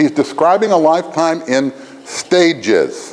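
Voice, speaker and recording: Over noticeable background noise, a man talks in an animated tone at a fairly high pitch. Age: 60s. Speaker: education dean and lecturer. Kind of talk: lecture. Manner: animated, conversational with frequent "right?".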